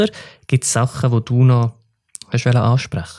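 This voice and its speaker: A man speaks in a medium pitch at a moderate pace. His voice is somewhat breathy. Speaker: podcast host. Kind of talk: casual interview.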